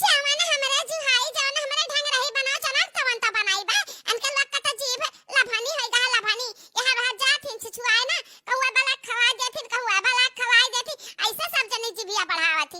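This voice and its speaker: In a cartoonish character voice, a woman squeaks at an extremely high pitch while keeping a moderate pace. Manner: shrill, nagging.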